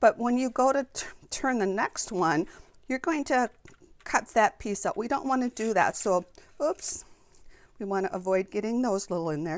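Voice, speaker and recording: A woman's fairly high voice with very wide pitch swings, a moderate pace, long and frequent pauses, and a dry, close sound with no echo. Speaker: papercraft demonstrator. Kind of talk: tutorial. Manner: casual with fillers and restarts.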